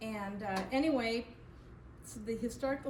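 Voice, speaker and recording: Amid noticeable background noise and audible room echo, a woman speaks at a moderate pace and fairly high pitch with fairly even intonation. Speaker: historical society charter member. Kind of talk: public talk to audience. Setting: community event with live audience, no microphone. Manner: loud, projecting. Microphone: speaking without microphone.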